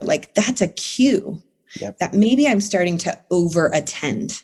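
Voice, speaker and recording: The tone is dark and mellow, somewhat breathy, with lively intonation. Delivery is very slow. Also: woman. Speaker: therapist. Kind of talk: interview answer.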